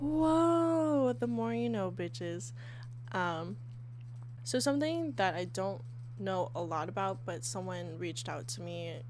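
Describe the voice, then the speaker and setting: A woman speaks at a very slow pace, with audible echo from the room. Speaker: podcast host. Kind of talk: casual solo podcast. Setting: sitting on bed, handheld mic.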